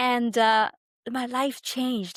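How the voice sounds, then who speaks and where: A woman speaks with a Tamil accent. The recording is very clean, with a silent background and a dry, close sound with no echo. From India, near Mumbai (western India). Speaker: migration advisor. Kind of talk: podcast interview.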